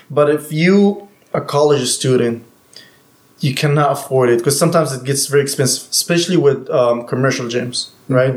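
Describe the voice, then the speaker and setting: A man with a normal speaking voice talks at a fairly quick pace, his fairly high pitch following fairly even intonation. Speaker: personal trainer.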